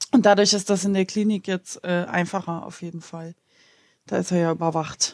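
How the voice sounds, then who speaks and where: A woman with a normal speaking voice talks at a moderate pace, her pitch fairly low and her intonation fairly even, while her loudness swings widely. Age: 30s. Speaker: partner of a person with depression. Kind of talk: casual interview.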